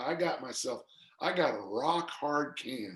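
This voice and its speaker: A man with an American accent, fairly high pitch, ordinary pitch variation and an animated tone. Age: 60s. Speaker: strength coach and author. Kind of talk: podcast interview.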